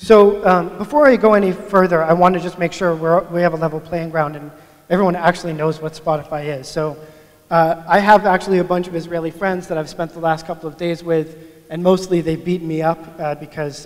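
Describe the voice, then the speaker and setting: Against noticeable background noise, a man talks fairly quickly at a high pitch, monotone and flat, with big swings in loudness. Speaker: agile coach. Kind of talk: conference talk. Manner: mumbling.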